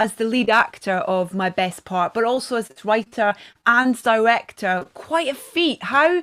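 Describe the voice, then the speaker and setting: A woman speaks at a moderate pace in a Scottish accent, her fairly high voice carrying lively intonation. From Scotland. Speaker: event presenter. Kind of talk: live interview. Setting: live show.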